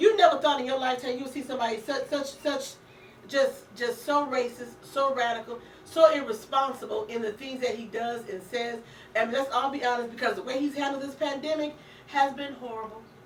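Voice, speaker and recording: Against noticeable background noise and audible room echo, a woman speaks in an animated tone at a fairly quick pace, her high pitch showing ordinary variation and her loudness swinging widely. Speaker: radio talk show host. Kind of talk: casual political chat. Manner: stammering when agitated.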